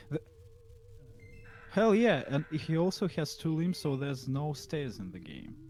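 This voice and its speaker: A man at a fairly high pitch, with lively intonation, big swings in loudness and long, frequent pauses, over music in the background. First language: not English. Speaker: indie game developer. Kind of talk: casual chat. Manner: hesitant, halting.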